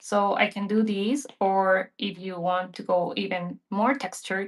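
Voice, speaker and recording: A plain, everyday voice from a woman, medium in pitch, at a fairly slow pace with fairly even intonation. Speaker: digital art teacher. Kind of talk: live painting tutorial. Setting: livestream.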